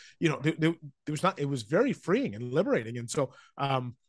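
Here is a man with a normal speaking voice at a medium pitch. The background is quiet. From Vancouver, Canada. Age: 40s. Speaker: sports journalist. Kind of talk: casual interview. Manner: conversational, filler words.

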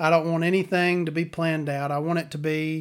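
A man's fairly high-pitched voice, monotone and flat in intonation, on a very clean recording with a silent background. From US South. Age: 40s. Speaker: podcast host. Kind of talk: casual monologue. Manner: rambling, hesitant with many ums.

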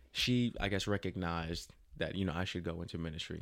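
Recorded very cleanly against a silent background, a man with a slight New Jersey accent and a very deep, low pitch speaks at a fairly quick pace. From Jersey City, New Jersey. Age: 30s. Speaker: young adult minister. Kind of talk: casual interview, personal testimony.

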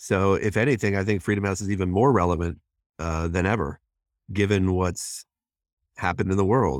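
Over a very clean recording with a silent background, a man with a very deep, low voice talks at a fairly quick pace with ordinary pitch variation and long, frequent pauses. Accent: American. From Washington DC area, US. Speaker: nonprofit president, former journalist. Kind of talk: interview.

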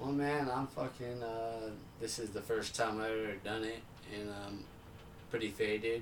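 Against noticeable background noise, a man speaks at a medium pitch and moderate pace in a monotone, flat intonation. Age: 20s. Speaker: podcast guest. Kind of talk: casual chat.

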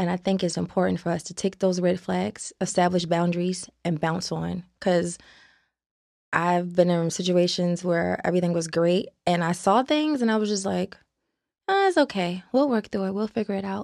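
An ordinary speaking voice: a woman with an American accent talks at a moderate pace and a fairly low pitch, with ordinary pitch variation. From Baltimore, Maryland. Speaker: actress. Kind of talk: casual interview chat. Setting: studio.

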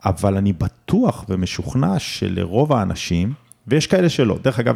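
At a fairly slow pace, a man with a dark, mellow tone makes very wide pitch swings. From southern Israel (Omer). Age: 40s. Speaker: real estate company chairman. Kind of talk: interview.

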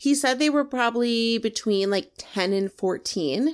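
On a very clean recording with a silent background, a woman with an ordinary speaking voice talks at a fairly slow pace, her pitch fairly high with ordinary pitch variation. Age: 30s. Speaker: podcast co-host. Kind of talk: storytelling.

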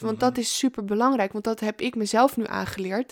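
A woman's fairly high voice, with ordinary pitch variation, sounds dry and close with no echo. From Amsterdam, Netherlands. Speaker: feminine embodiment coach. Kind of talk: interview conversation. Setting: in person.

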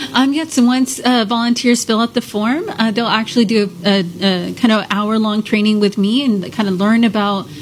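Against noticeable background noise, a woman talks at a moderate pace and medium pitch with ordinary pitch variation. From Houston. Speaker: nonprofit outreach director. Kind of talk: radio interview. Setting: studio.

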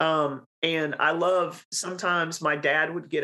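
Her very deep, low pitch comes with a bright, sharp tone and monotone, flat intonation. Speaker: podcast host. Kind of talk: casual chat.

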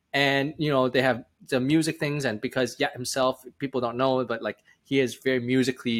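A man speaks in an unremarkable speaking voice at a medium pitch. His intonation is fairly even and his pace fairly quick. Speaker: startup founder and CEO. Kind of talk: interview, casual chat.

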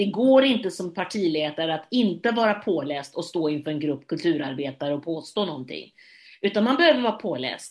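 A woman talks at a fairly quick pace with very wide pitch swings, in a very clean recording with a silent background. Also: fairly low pitch for a woman. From Sweden, Gothenburg. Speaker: theatre director and actress. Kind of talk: interview. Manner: halting.

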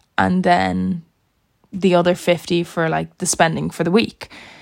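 In an Irish accent, a woman speaks at a moderate pace. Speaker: podcast host. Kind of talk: casual solo chat.

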